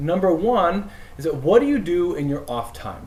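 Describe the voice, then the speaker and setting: The voice is loud. Room echo is audible. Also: man. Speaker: priest. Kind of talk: casual chat.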